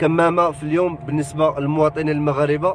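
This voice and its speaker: A man's voice at a moderate pace with fairly even intonation, dry with no echo, over noticeable background noise. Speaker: driver doing a live street report. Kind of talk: live commentary. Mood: critical, concerned about masks. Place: car. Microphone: phone near.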